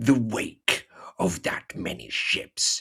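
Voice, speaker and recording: A man growls out a put-on character voice in a menacing tone at a very slow pace. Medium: read story. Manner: menacing, growling.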